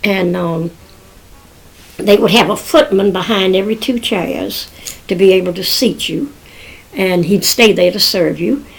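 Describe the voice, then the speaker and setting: Noticeable background noise surrounds a woman with a medium-pitched voice. She talks at a fairly slow pace with long, frequent pauses. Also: ordinary pitch variation. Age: 80s+. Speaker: grandmother telling family history. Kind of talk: oral history storytelling.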